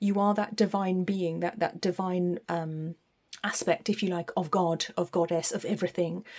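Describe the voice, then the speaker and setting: A woman with a British accent and fairly even intonation. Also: medium pitch for a woman, moderate pace. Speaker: tarot reader. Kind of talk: tarot reading. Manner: hesitant, many fillers.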